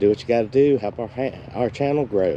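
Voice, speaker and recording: There is light background noise as a man talks with ordinary pitch variation, the sound dry with no echo. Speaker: equipment channel vlogger. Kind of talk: casual vlog chat. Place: open country. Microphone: phone near.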